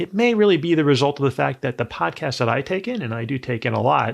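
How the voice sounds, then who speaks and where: Speaking at a very fast pace, a man with a medium pitch uses lively intonation and vocal fry. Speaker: podcast host and lawyer. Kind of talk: podcast panel interview. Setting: online call.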